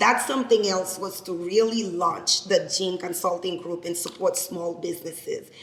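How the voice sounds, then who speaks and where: Speaking with a Haitian accent at a moderate pace and medium pitch, a woman keeps fairly even intonation and hardly any pauses over noticeable background noise. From Haiti, Cap-Haitien. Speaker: lawyer and business founder. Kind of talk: speech to an audience. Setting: event with live audience.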